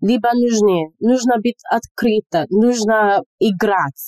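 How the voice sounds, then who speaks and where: A woman with a slight Nigerian accent speaks at a fairly high pitch, her tone dark and mellow, in a dry, close recording with no echo. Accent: slight Nigerian accent in Russian. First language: English (speaking Russian). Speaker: medical student and English teacher. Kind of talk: casual interview chat. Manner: animated.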